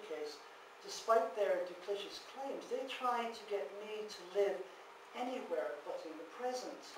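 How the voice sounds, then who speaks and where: Over noticeable background noise and audible room echo, a man talks at a moderate pace with ordinary pitch variation. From Ireland. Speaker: ex-cult member and author. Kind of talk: public talk. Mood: sober, personal. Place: hall. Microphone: camera far.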